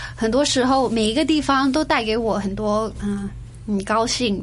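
A woman with a fairly high pitch and fairly even intonation speaks at a moderate pace, with audible room echo. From Singapore and Hong Kong. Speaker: interview guest. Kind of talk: casual interview. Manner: hesitant, many fillers; code-switching Chinese and English.

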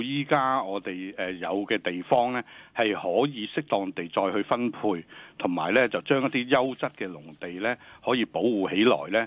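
A man at a medium pitch and moderate pace, with lively intonation. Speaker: government department director. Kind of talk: radio interview. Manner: halting, many fillers.

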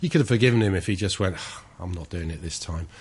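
A man speaks very fast in a fairly low voice. His delivery is somewhat breathy. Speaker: sports commentator. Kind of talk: casual chat. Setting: studio.

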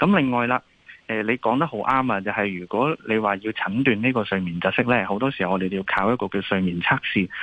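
A man with a Hong Kong accent, fairly low-pitched, fairly quick, with ordinary pitch variation. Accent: Hong Kong Cantonese. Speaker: ENT doctor. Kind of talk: radio interview, health advice.

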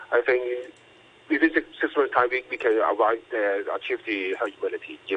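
A man speaking at a moderate pace. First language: Cantonese. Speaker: doctor. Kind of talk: radio interview. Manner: halting.

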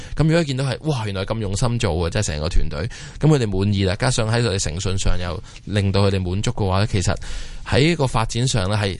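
A man speaks very fast with lively intonation and a fairly low pitch. Room echo is audible. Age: 30s. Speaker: watch company founder. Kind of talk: interview. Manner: halting.

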